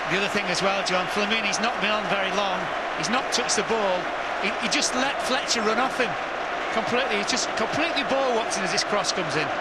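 Very fast speech from a man comes through loud background noise, the sound dry with no echo. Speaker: football co-commentator and pundit. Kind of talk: live football commentary, analytical co-commentary. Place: studio.

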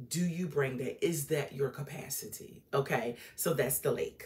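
This is a woman speaking. Her pitch is fairly low. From Norfolk, Virginia, US; Virginia. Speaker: relationship coach / YouTuber; relationship coach, YouTuber. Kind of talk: casual monologue / educational talk. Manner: conversational, with filler words. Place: home room. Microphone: phone near.

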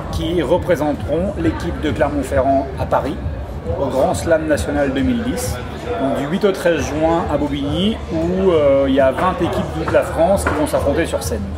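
A man talks at a moderate pace. Loud background noise is present. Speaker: slam master / event presenter. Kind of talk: interview answer promoting a slam event. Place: hall. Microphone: camera far.

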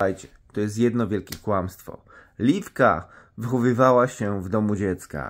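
His pitch varies in an ordinary way. This man's voice sits fairly low. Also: moderate pace. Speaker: vlogger. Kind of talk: casual vlog chat, gossip storytelling. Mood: mocking, amused. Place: home room. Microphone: phone near.

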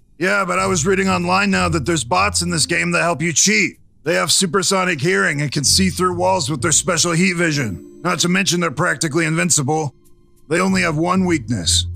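Over faint background music, a man with a fairly high pitch speaks in very wide pitch swings. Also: fairly quick pace. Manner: nervous, conspiratorial.

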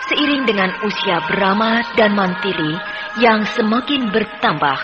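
A woman speaks at a fairly slow pace over music in the background. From Indonesia. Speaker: radio drama narrator. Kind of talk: radio drama narration. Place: studio.

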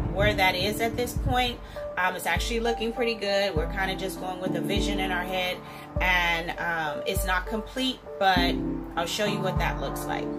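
A woman at a moderate pace over loud background music. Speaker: home builder vlogger. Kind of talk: casual vlog chat. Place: bathroom. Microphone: phone near.

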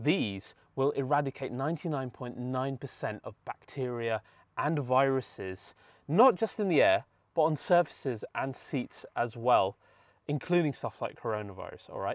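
With a quiet background and a dry sound with no echo, a man talks at a moderate pace. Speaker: car channel host. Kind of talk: sponsor read. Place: car. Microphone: lapel.

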